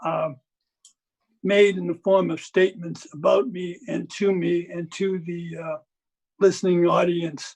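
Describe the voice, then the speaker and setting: His pitch is high and his intonation fairly even. The man speaks at a fairly slow pace. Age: 70s. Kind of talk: public meeting statement. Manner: halting.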